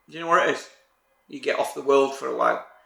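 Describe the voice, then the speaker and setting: A man is heard with audible room echo. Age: 50s. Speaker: rally driver. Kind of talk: interview.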